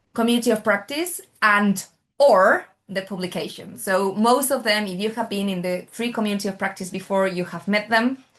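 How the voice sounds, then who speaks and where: Over a quiet background, a woman with a Spanish accent talks at a moderate pace. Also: medium pitch for a woman, ordinary pitch variation. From Spain. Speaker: oncology nurse. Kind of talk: webinar moderation.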